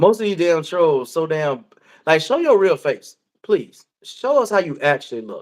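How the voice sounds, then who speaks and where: Speaking at a moderate pace, a man with a high voice makes very wide pitch swings. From US South, Georgia. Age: 40s. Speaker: live stream panel host. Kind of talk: casual chat. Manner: animated.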